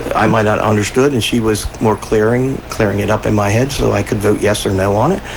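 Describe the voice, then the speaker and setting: A man with an American accent talks at a fairly quick pace with hardly any pauses, his pitch fairly low and his intonation fairly even. Loudness stays very even, and there is noticeable background noise. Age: 60s. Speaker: city commissioner and radio co-host. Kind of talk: radio talk show. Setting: radio studio. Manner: halting, many fillers.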